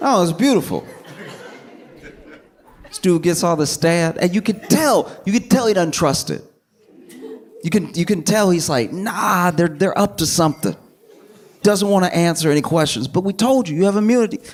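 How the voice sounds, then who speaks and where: Over noticeable background noise, a man with a high pitch talks at a moderate pace with ordinary pitch variation and long, frequent pauses. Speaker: comedian. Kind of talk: stand-up comedy set. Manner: calm.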